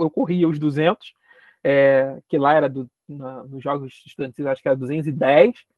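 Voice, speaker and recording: A man speaks with a Carioca accent. His pace is moderate. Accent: carioca Brazilian Portuguese. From Rio de Janeiro, Brazil. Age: 20s. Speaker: geography lecturer and doctoral student. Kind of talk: interview conversation.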